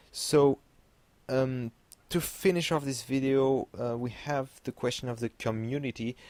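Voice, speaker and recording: A man with a non-native accent and medium pitch speaks at a fairly slow pace in a dry, close sound with no echo. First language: French. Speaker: gaming YouTuber. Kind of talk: video commentary. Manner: halting, many fillers.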